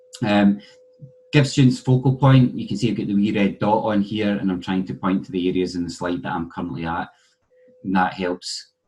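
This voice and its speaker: In a Scottish accent, a man speaks at a fairly low pitch with ordinary pitch variation. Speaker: university lecturer. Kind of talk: conference presentation.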